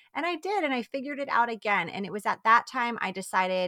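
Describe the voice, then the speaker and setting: Speaking at a very fast pace with lively intonation, a woman with an American accent has a bright, sharp tone and a dry, close sound with no echo. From New York. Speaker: time management coach for mothers. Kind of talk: interview.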